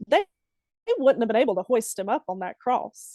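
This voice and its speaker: A woman speaks with a Southern US accent. Her tone is dark and mellow. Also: dry, close sound with no echo. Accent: Southern twang. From Alabama. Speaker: poet. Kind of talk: poetry reading. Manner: exaggerated Southern dialect.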